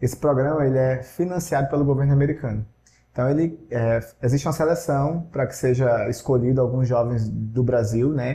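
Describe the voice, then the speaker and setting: A man talks at a fairly quick pace with a medium pitch and fairly even intonation. His tone is dark and mellow, somewhat breathy. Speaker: language school owner. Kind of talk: casual interview.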